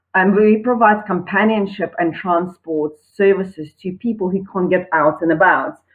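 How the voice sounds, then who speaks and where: At a moderate pace and with hardly any pauses, a woman talks at a medium pitch with ordinary pitch variation. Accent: South African. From South Africa. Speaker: online entrepreneur. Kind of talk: personal testimony pitch.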